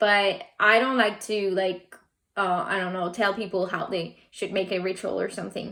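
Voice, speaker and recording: A non-native accent at a moderate pace. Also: woman. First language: not English. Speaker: tarot and oracle card reader. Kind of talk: pick a card reading. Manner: halting.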